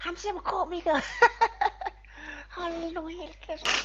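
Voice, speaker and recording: Over clear background noise, a man uses a put-on character voice at an extremely high pitch. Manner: teasing.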